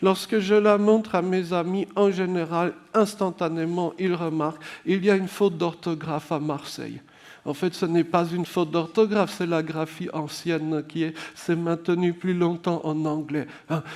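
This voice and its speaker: At a fairly slow pace, a man with a high pitch speaks with fairly even intonation. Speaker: public speaker and writer. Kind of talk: conference talk. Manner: slurred-sounding delivery.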